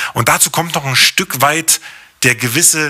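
There is noticeable background noise, though the sound is dry and close with no echo. A man speaks at a fairly high pitch with ordinary pitch variation. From East Berlin (Hohenschönhausen), East Germany. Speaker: podcast host. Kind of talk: solo podcast monologue.

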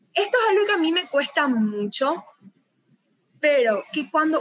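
A woman is speaking. Her intonation is lively. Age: 20s. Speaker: entrepreneur. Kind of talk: interview.

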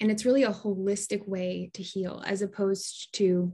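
Somewhat breathy speech with monotone, flat intonation sits over a quiet background. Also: woman. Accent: American. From US Midwest, Des Moines, Iowa. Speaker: Ayurvedic health counselor and yoga teacher. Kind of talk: podcast interview.

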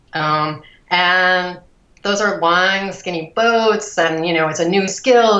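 The speaker has a Midwestern American accent and ordinary pitch variation. Audible room echo surrounds the voice. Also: woman. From US Midwest, Cleveland suburbs, Ohio. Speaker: breast cancer survivor and rower. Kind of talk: interview. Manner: halting with many fillers.

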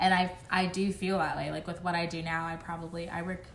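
This woman's voice sits at a fairly low pitch, and she speaks at a moderate pace. She has an unremarkable speaking voice. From South Florida (Miami), born in Jamaica. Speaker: podcast co-host. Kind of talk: casual chat.

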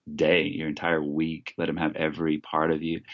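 A man's very deep, low voice with a Texan accent. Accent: Texan American. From Texas. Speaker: youth pastor and illusionist. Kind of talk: interview conversation.

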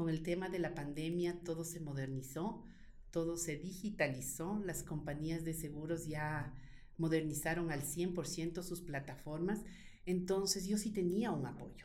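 A woman speaks at a fairly low pitch in a dark, mellow tone, with ordinary pitch variation. Her pace is fairly slow, and audible room echo surrounds her voice. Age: 50s. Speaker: insurance broker and business owner. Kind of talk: interview.

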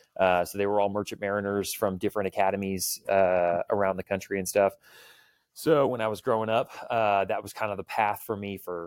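A man talks at a fairly low pitch and fairly quick pace in a monotone, flat delivery. The recording is very clean with a silent background, and the sound is dry and close with no echo. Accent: American. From Texas, Clear Lake near Houston. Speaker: firearms and self-defense instructor. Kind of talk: casual interview chat.

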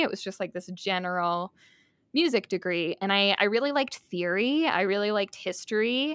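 A plain, everyday voice from a woman with an American accent, medium pitched and lively in intonation, at a moderate pace, with a dry, close sound and no echo. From upstate New York, rural. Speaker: music therapist and podcaster. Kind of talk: casual interview chat. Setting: remote call recording.

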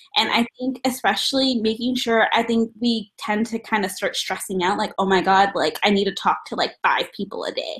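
A woman has a plain, everyday voice with a fairly high pitch. She speaks at a moderate pace with fairly even intonation. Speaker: recent graduate and executive assistant. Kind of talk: panel discussion. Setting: video call.

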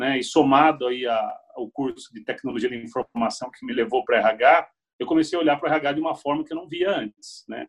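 With an unremarkable speaking voice, a man talks in a fairly high pitch with lively intonation, big swings in loudness and hardly any pauses. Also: fairly quick pace. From Brazil, Piracicaba (interior of São Paulo). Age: 40s. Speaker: HR executive. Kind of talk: interview.

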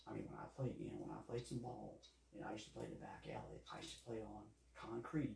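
Recorded with audible room echo, a man with an American accent talks at a fairly quick pace. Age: 50s. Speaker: sports podcast host. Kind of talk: solo podcast commentary. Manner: halting, many fillers and repetitions.

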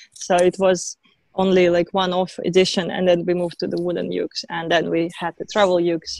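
Her loudness swings widely as a woman talks at a fairly quick pace. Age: 30s. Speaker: ukulele company founder. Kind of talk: casual interview. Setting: video call from her garden.

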